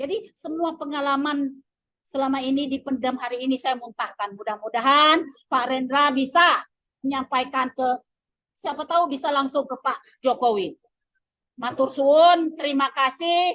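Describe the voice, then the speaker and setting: A woman's high-pitched voice with a Lampung accent, bright and sharp in tone, ordinary pitch variation, at a moderate pace. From Lampung, Indonesia. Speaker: migrant worker. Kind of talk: audience testimony. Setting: workshop with audience.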